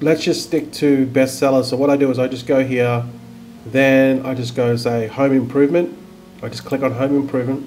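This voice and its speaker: A man's monotone, flat delivery over faint music in the background. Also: moderate pace. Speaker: online seller. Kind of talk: tutorial. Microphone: webcam.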